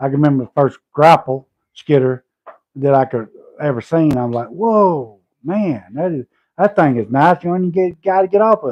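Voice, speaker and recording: Delivered at a moderate pace in a Southern US accent, the speech has lively intonation and big swings in loudness. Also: man, fairly high pitch for a man. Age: 50s. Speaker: homesteader and logger. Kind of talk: casual livestream chat.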